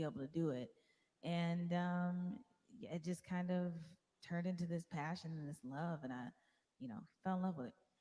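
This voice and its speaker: Soft-spoken and somewhat breathy, a woman with a fairly low pitch talks at a moderate pace with ordinary pitch variation. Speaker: singer-songwriter. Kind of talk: interview. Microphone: too quiet.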